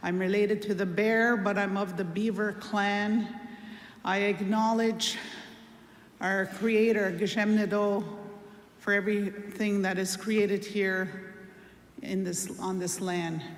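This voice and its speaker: At a fairly slow pace, a woman speaks in a flat monotone, with long, frequent pauses and audible room echo. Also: medium pitch for a woman. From Wiikwemkoong, Manitoulin Island, Ontario. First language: Anishinaabemowin. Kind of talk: ceremonial greeting.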